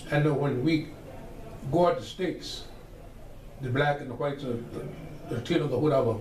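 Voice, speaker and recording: A man with an American accent, fairly high in pitch, at a fairly quick pace with long, frequent pauses and fairly even intonation, amid audible room echo and noticeable background noise. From Virginia, US South. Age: 70s. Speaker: church elder, oral history interviewee. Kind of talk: oral history interview. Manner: conversational, with fillers.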